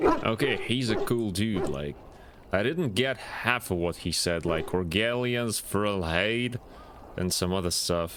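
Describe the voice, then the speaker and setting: A man with a fairly low pitch and lively intonation. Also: fairly slow pace. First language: not English. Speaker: video game streamer. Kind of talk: live gaming stream commentary. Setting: live stream.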